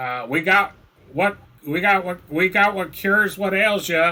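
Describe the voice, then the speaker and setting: Put-on character voice from a man, pitched high, moderate in pace. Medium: actual play. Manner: folksy, drawling.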